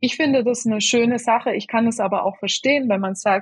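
A woman's somewhat breathy voice, with ordinary pitch variation, comes over a quiet background. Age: 30s. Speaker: head of a food-service sustainability initiative. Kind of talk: podcast interview. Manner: hesitant, many filler sounds.

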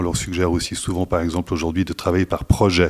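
A very clean recording of a man with a very deep, low voice against a silent background. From Switzerland (French-speaking). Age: 50s. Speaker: staffing company executive. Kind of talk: interview. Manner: hesitant with fillers and repetitions.

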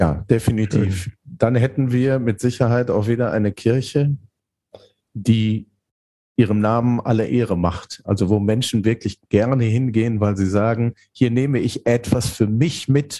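Speaking at a fairly slow pace, a man with a dark, mellow tone keeps a medium pitch and fairly even intonation. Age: 50s. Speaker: theologian and leadership coach. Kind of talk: podcast interview.

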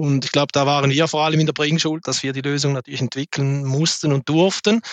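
The man's intonation is monotone and flat as he talks fairly quickly. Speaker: logistics sales executive. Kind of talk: business panel discussion. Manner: halting, many fillers.

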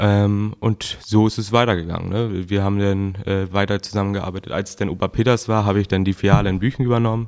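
A man speaks at a fairly quick pace in a normal speaking voice. His pitch is fairly low and his intonation fairly even. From northern Germany, Gülzow. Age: 20s. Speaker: shop co-owner. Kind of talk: casual interview.

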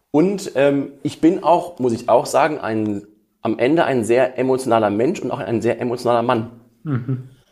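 A man's medium-pitched voice carries ordinary pitch variation as he talks at a moderate pace. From Ruhr area, western Germany (Essen). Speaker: emotion coach and musician. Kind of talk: interview. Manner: hesitant with fillers.

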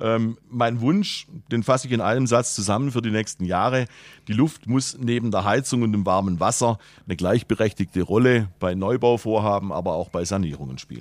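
A man with an ordinary speaking voice, his pitch medium and its variation ordinary. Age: 60s. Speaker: head of sales. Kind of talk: interview. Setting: studio.

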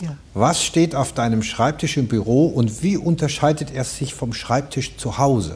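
At a moderate pace, a somewhat breathy man speaks at a medium pitch with ordinary pitch variation. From Palatinate, Germany. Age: 60s. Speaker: dubbing studio owner. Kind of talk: casual chat. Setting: studio.

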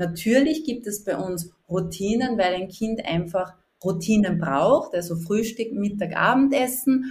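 A woman with a medium pitch and lively intonation speaks at a fairly slow pace with a slight Upper Austrian accent. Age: 40s. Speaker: life coach. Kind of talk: interview.

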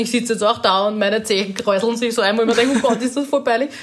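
Noticeable background noise surrounds a woman with an Austrian accent who speaks at a fairly high pitch with ordinary pitch variation. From Lower Austria, rural. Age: 30s. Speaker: social media influencer and mother. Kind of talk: casual chat.

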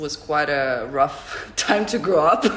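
Amid noticeable background noise and audible room echo, a woman talks in a very deep, low pitch. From Russia, Moscow. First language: Russian. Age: 30s. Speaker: artist and photographer. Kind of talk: interview.

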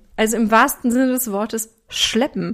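At a moderate pace, the speaker has an animated tone and a slight Ruhr accent, captured in a very clean recording with a silent background. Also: woman. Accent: Ruhr regional German, slight. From Ruhr area, Germany. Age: 30s. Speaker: podcast host and weight coach. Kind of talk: solo podcast monologue.

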